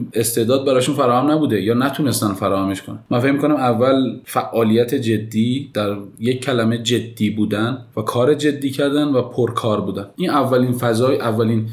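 A man's voice at a moderate pace with fairly even intonation, amid audible room echo. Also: medium pitch for a man, hardly any pauses. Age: 30s. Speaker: architect. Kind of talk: interview.

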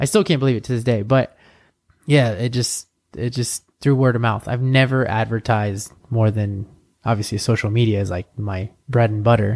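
Over a silent background in a very clean recording, a man with a normal speaking voice talks at a moderate pace, medium in pitch, with fairly even intonation. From born in Bolivia, raised in US (Santa Cruz area). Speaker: soccer coach, former professional player. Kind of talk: casual chat.

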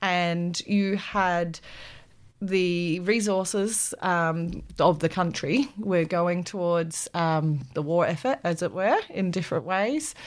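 Speaking at a very slow pace in an Australian accent, a woman has a fairly low pitch and ordinary pitch variation. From South Australia, Adelaide. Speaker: PhD researcher in urban agriculture. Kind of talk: interview.

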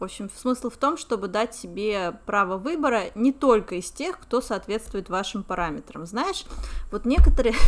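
At a moderate pace, a woman with a fairly high pitch uses lively intonation, with big swings in loudness. It is an unremarkable speaking voice. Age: 30s. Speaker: podcast co-host, English teacher and entrepreneur. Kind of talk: casual chat.

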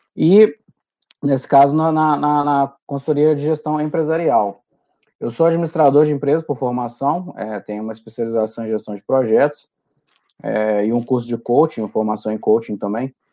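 A man speaks at a medium pitch and a moderate pace, with ordinary pitch variation. His tone is dark and mellow against a quiet background. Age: 30s. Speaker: management consultant. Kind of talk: casual interview. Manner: halting, repeats words.

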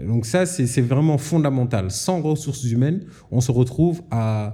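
Dark, mellow male voice, somewhat breathy in quality. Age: 30s. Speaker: geologist and energy entrepreneur. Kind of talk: interview. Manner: hesitant with fillers.

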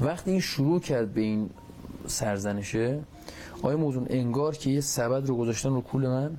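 A man's medium-pitched voice at a moderate pace and very even loudness, with noticeable background noise and audible room echo. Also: ordinary pitch variation. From Iran, Takab. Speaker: war veteran with near-death experience. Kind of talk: testimony.

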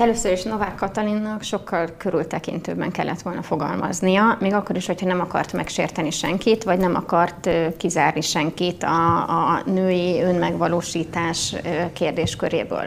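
Against noticeable background noise, a woman with a fairly low voice speaks at a moderate pace with hardly any pauses. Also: fairly even intonation. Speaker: politician. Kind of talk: debate.

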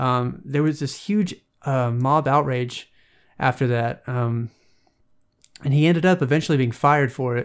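A man with a slight Southern US accent speaks with long, frequent pauses on a very clean recording with a silent background. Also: ordinary pitch variation, moderate pace. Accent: slight Southern US twang. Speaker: podcast host. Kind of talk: casual solo commentary. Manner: casual, lots of filler words.

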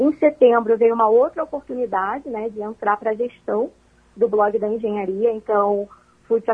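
With ordinary pitch variation, a woman's fairly high voice moves along at a moderate pace. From Brazil, Rio de Janeiro. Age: 20s. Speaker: food engineering student. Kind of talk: radio interview. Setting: phone call. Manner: animated.

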